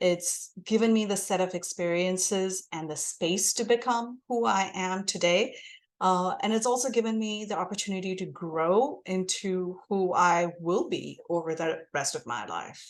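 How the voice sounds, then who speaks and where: Her voice sits at a medium pitch, and she has an American accent. The woman speaks at a fairly slow pace with ordinary pitch variation. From India. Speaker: guest. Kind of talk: podcast interview.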